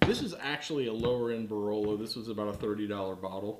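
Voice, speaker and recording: A man speaks at a fairly quick pace. Noticeable background noise is present. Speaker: home cooking show host. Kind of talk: tutorial. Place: kitchen.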